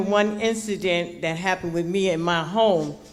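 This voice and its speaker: Speaking at a fairly slow pace with an American accent, a woman uses a medium pitch and ordinary pitch variation, with audible room echo. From Newark, New Jersey. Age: 70s. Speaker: community resident speaking at public meeting. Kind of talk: public comment at community meeting. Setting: public meeting hall with audience, microphone.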